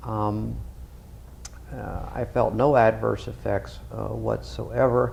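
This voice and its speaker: A man talks at a very slow pace, leaving long, frequent pauses. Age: 60s. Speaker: retired radiologist, patient. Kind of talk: testimonial. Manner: halting, many fillers; formal, clinical wording.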